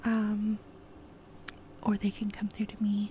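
Light background noise sits under a woman's fairly high voice, dry with no echo. She talks at a moderate pace in a relaxed tone with an American accent. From California. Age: 20s. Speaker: ASMR YouTuber. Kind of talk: casual Q&A monologue. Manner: relaxed, giggly with frequent fillers. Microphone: earbuds.

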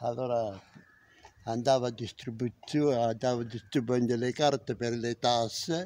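Big swings in loudness mark a man's medium-pitched voice. He speaks at a very slow pace. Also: fairly even intonation. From southern Italy, Campania (Villa Literno, Caserta); Campania, Italy. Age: 70s. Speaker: retired factory worker. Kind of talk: interview about life story. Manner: halting. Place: street. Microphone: phone near.

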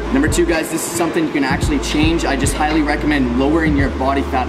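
Very fast speech runs over music in the background. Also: man. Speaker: fitness creator. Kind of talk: casual fitness tutorial. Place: gym. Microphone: phone near.

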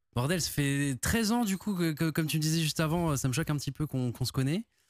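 A man at a fairly quick pace, dry sound with no echo, quiet background. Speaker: podcast guest. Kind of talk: interview answer. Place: studio. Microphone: studio mic.

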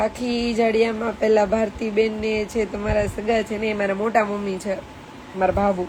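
Noticeable background noise surrounds a woman whose fairly high voice holds a monotone, flat intonation. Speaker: live streamer. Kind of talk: casual chat.

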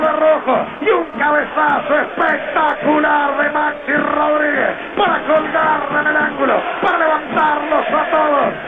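Over music in the background, a man with an extremely high pitch talks fairly slowly in a flat monotone. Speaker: radio sports commentator.

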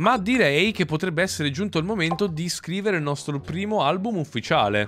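A man talks in an animated tone, keeping a moderate pace. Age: 20s. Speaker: gaming youtuber. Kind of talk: gameplay commentary. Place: home room. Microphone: studio mic.

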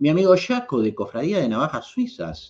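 A man's high-pitched voice with very wide pitch swings, in a Rioplatense accent. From Argentina. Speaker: YouTube host, knife and EDC enthusiast; channel host. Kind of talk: livestream chat reading viewer comments. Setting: live stream. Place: home room. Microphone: webcam.

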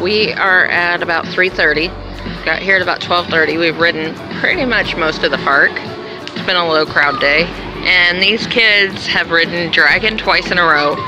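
Over clear background music, the voice moves at a fairly slow pace with a dry sound and no echo. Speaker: family vlogger. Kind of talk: casual vlog chat. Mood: cheerful, upbeat. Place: street. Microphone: phone near.

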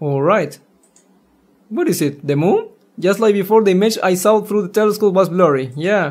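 A man's high-pitched voice, slightly mellow in tone, with big pitch swings. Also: moderate pace.

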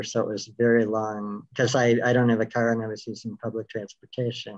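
Against a quiet background, a man speaks at a moderate pace in a monotone, flat intonation. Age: 50s. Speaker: cancer patient and storyteller. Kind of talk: comedic storytelling performance; interview. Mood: reflective, personal storytelling. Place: home room. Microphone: video call.

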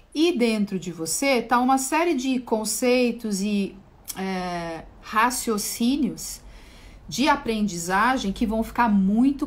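Somewhat breathy, a woman speaks fairly slowly at a fairly high pitch with ordinary pitch variation. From Brazil. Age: 40s. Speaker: spiritual therapist. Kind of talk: livestream talk on esoteric topic. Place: home room. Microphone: phone near.

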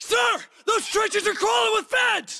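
A man shouts slowly in a put-on character voice, pitched extremely high. The tone is bright and sharp, with vocal fry. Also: ordinary pitch variation.

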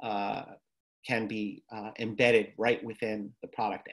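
Against a quiet background, a man speaks very slowly with fairly even intonation. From New York. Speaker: therapist and tech entrepreneur; presenter. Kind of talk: lecture. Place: home room. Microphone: webcam.

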